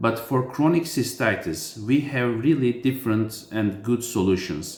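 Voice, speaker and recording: This man speaks with a non-native accent at a fairly slow pace, his pitch sitting in the medium range. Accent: foreign accent in English. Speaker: urologist. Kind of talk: medical explainer. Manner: halting, many fillers.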